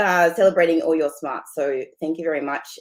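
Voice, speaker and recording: Talking at a fairly quick pace, a woman with an Australian accent uses a fairly low pitch and fairly even intonation. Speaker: partnerships director of a society. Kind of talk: meeting presentation. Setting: video call from home.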